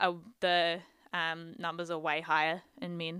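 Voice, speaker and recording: A woman's fairly low voice in a New Zealand accent, bright and sharp in tone, at a fairly slow pace, on a very clean recording with a silent background. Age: 20s. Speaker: psychology PhD student. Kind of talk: casual chat.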